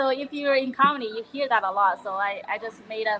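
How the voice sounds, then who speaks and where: With a Chinese accent, a woman talks at a fairly quick pace and a fairly high pitch, with ordinary pitch variation. Noticeable background noise is present. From China. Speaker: comedian. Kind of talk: casual interview.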